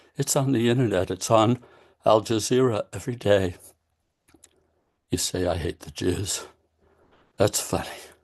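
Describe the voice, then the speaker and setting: A man talks at a fairly slow pace with a fairly low pitch. His voice is somewhat breathy, with ordinary pitch variation. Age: 70s. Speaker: poet. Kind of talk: casual chat; poetry reading.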